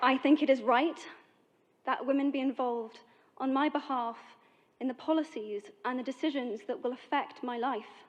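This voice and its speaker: A woman speaks in a British accent at a moderate pace, her pitch high. She leaves long, frequent pauses. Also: ordinary pitch variation, quiet background. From Britain. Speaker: actress. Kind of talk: public speech.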